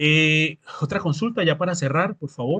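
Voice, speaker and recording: This man's fairly high voice has ordinary pitch variation and a dry, close sound with no echo. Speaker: agronomy instructor. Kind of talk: lecture with live Q&A. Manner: fast.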